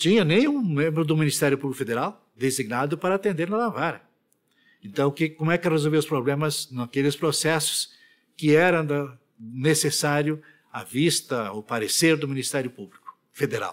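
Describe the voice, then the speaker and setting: A man with an ordinary speaking voice talks at a fairly high pitch and a moderate pace, with ordinary pitch variation and big swings in loudness. The recording is very clean, with a silent background. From Rio Grande do Sul, Brazil. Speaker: retired federal appellate judge. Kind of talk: oral history interview answer.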